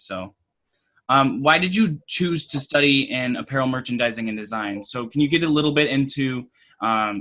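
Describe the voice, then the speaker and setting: With an American accent, a man speaks at a moderate pace in a fairly high pitch, with a bright, sharp tone and ordinary pitch variation. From Minnesota, Waconia. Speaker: podcast host. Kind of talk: interview.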